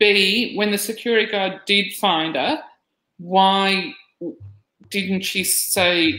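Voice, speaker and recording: A voice with an Australian accent and a bright, sharp tone speaks at a very slow pace with ordinary pitch variation. There is audible room echo over a quiet background. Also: woman. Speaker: podcast co-host. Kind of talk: casual discussion. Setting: video call. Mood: puzzled, questioning.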